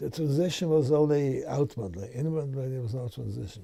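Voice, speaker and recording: At a fairly quick pace, a man with a medium-pitched, somewhat breathy voice speaks with lively intonation. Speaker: rabbi. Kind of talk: interview answer.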